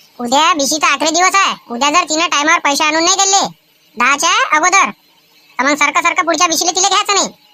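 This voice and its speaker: A cartoonish character voice from a woman, extremely high in pitch, at a moderate pace with very even loudness. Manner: complaining, chatty.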